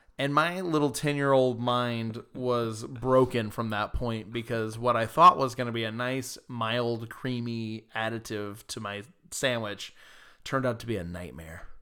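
In a very clean recording with a silent background, a man with an American accent speaks fairly slowly in a bright, sharp tone at medium pitch, with ordinary pitch variation. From US South, Georgia. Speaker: podcast co-host. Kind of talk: casual chat.

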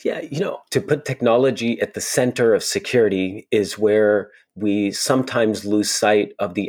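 With fairly even intonation, a man talks at a moderate speed. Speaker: security executive. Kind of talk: interview conversation.

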